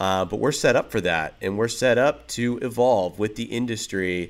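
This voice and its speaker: An unremarkable speaking voice goes at a moderate pace with ordinary pitch variation. The recording is very clean with a silent background. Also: man. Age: 30s. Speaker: production company co-owner and director. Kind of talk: casual interview chat.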